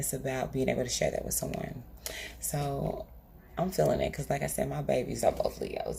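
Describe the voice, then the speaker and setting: This is a woman's voice. She is soft-spoken. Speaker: tarot reader. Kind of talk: tarot reading monologue. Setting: at home. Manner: quiet.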